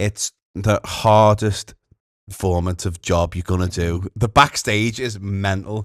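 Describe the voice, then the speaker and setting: A man with a Liverpool accent speaks very slowly in a fairly low voice. His intonation stays fairly even. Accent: Scouse. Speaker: comedian. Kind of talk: interview answer. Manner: camp, cheeky.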